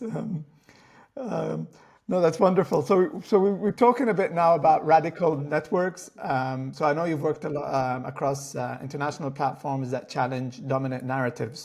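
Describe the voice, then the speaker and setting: A man speaks at a moderate pace with a fairly high pitch, ordinary pitch variation and a somewhat breathy voice. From Middle East. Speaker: podcast host. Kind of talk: podcast interview.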